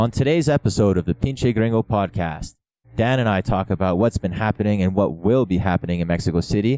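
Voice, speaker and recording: In an ordinary speaking voice, a man talks at a fairly quick pace with ordinary pitch variation and very even loudness, the sound dry and close with no echo. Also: fairly low pitch for a man. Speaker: podcast co-host. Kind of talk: casual chat.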